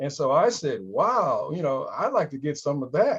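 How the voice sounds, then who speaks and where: A man's unremarkable speaking voice at a moderate pace. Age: 60s. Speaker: patient. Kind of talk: TV interview.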